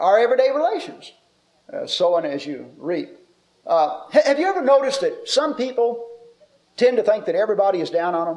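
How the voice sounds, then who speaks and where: Amid audible room echo, a man with a high pitch swings it very widely at a moderate pace. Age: 50s. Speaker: preacher. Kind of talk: sermon.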